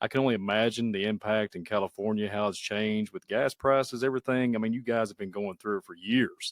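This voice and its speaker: A man talking at a very fast pace with fairly even intonation, on a very clean recording with a silent background. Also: dry, close sound with no echo. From Kentucky. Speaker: YouTube channel host, podcast guest. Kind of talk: casual chat.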